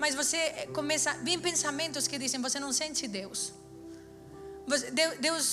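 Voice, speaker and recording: With a non-native accent, a woman uses a raised, projected voice and an animated tone at a fairly quick pace, with audible room echo and music in the background. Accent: noticeable foreign. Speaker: preacher. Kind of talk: sermon.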